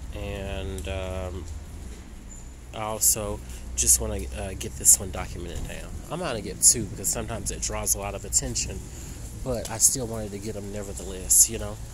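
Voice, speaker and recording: A man with a very deep, low pitch talks at a moderate pace, leaving long, frequent pauses, with big swings in loudness. There is noticeable background noise, and the sound is dry with no echo. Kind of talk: casual vlog chat. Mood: suspicious, worried. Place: street. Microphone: phone near.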